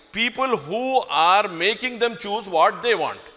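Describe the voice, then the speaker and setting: A man's raised, projected voice, high-pitched with ordinary pitch variation at a fairly slow pace, over noticeable background noise. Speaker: school administrator addressing staff. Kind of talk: speech to staff. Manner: slow, deliberate.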